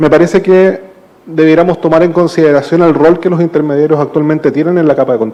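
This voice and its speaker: A very fast-talking man in a Chilean accent, with noticeable background noise. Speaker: panelist, digital rights policy expert. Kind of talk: panel discussion. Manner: hesitant, many fillers.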